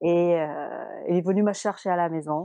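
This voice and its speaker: A woman speaks with a fairly low pitch and ordinary pitch variation. Her background is quiet. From Senegal (Dakar). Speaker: fashion model. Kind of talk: interview.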